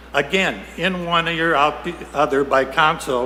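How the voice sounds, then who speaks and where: A man's fairly high voice, with fairly even intonation, is heard through audible room echo and noticeable background noise. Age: 80s+. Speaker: citizen speaking at public comment, army veteran. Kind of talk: public comment at city council meeting. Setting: city council chamber.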